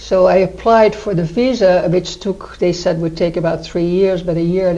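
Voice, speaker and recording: Speaking with a Dutch accent, a woman keeps a moderate pace. Her pitch is fairly low. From Netherlands. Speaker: retirement community resident. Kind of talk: interview.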